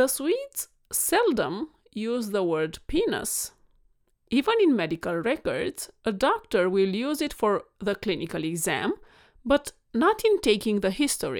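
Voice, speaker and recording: A woman with a Romanian accent, fairly high pitch, and very wide pitch swings at a fairly slow pace, in a very clean recording with a silent background. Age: 40s. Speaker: podcast host and vet, weight coach. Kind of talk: monologue podcast solo talk. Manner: animated, warm, passionate.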